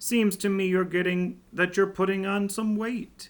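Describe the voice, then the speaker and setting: A man uses a put-on character voice with a high pitch. His delivery is monotone and flat, at a moderate pace. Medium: read story. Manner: blunt, matter-of-fact.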